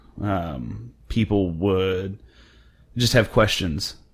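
His accent is American. The man's pitch varies an ordinary amount. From central Oklahoma. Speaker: podcast host. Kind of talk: casual chat. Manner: halting.

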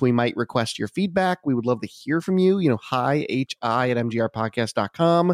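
The recording is very clean, with a silent background. A man uses a normal speaking voice with lively intonation. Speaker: podcast host. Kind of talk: casual chat.

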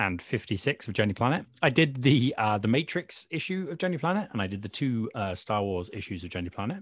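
Delivered at a fairly quick pace, this voice carries a British accent and very wide pitch swings. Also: man, medium pitch for a man. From Britain. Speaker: fanzine contributor. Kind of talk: casual interview.

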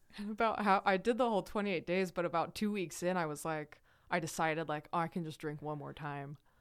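A woman with an American accent, a normal speaking voice, fairly low pitch with ordinary pitch variation, a fairly quick pace, and a very clean recording over a silent background. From Idaho, US. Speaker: person in recovery from addiction. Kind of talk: casual interview conversation.

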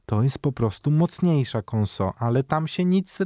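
On a very clean recording with a silent background and a dry, close sound with no echo, a man speaks at a moderate pace in a dark, mellow tone. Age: 30s. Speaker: gaming show co-host. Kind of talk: casual chat.

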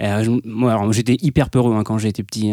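The tone here is dark and mellow. The pace is fairly quick. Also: man. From France, Nevers. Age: 30s. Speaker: airline co-pilot. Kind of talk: casual interview.

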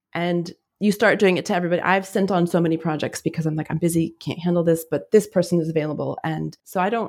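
A woman has a normal speaking voice with an American accent and a fairly low pitch. She talks at a fairly quick pace with fairly even intonation. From US Southwest, New Mexico. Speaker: freelance editor. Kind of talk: casual chat.

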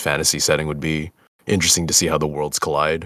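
At a very fast pace, a man speaks with a very deep, low pitch. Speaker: voice actor. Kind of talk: casual Q&A chat.

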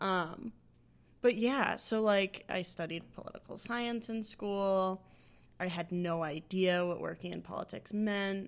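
A woman has a plain, everyday voice. She talks at a fairly slow pace with fairly even intonation. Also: medium pitch for a woman. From US coast, recently moved to Midwest. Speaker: podcast co-host. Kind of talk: casual political chat.

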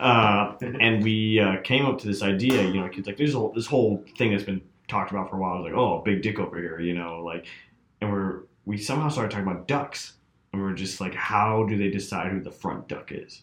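At a fairly quick pace, a man with an unremarkable speaking voice talks at a fairly low pitch with ordinary pitch variation. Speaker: music producer and audio engineer. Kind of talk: casual chat.

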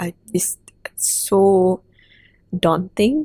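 A somewhat breathy woman's voice at medium pitch, with ordinary pitch variation and a dry, close sound with no echo. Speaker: podcast host. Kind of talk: interview conversation.

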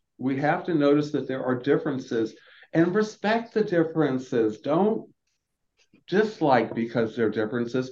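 A man with an American accent speaks at a fairly high pitch and a moderate pace, his pitch swinging very widely. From US Southeast, Florida. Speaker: dentist and health equity advocate. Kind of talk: interview conversation.

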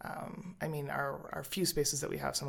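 In a Canadian accent, a woman with vocal fry speaks at a moderate pace. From Alberta, Canada (Edmonton and Calgary). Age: 30s. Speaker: spoken word poet. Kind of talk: casual interview chat.

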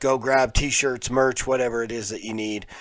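Speaking with an American accent, this man's voice rests at a medium pitch. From Colorado, Pueblo. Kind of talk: live reaction and review stream. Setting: live YouTube stream. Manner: casual, hesitant with many fillers.

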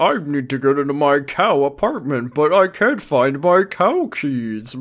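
Using a put-on character voice, a man speaks with a fairly high pitch at a moderate pace. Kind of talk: comic character voice. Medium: game stream.

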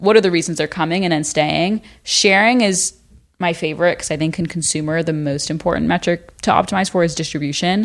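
A woman with a plain, everyday voice talks at a fairly quick pace, her pitch fairly low and her intonation fairly even. The recording is very clean, with a silent background. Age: 20s. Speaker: venture capital investor and university student. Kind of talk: casual chat. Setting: in person in the hosts' headquarters.

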